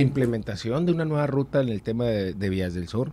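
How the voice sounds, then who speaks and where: Light background noise can be heard. A man talks fairly quickly with lively intonation. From Mexico, Sonora (Hermosillo); Sonora. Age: 30s. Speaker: political candidate; candidate. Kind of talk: interview. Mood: earnest, persuasive. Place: studio. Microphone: studio mic.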